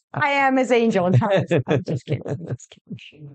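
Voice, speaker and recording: A woman with a Zimbabwean accent speaks at a medium pitch. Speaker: real estate agent and podcast co-host. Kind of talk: casual podcast chat.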